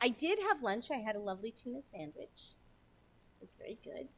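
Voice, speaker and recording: A woman speaks at a high pitch with very wide swings in her pitch. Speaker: gaming streamer. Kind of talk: live game stream commentary. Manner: fast; chatty, scattered.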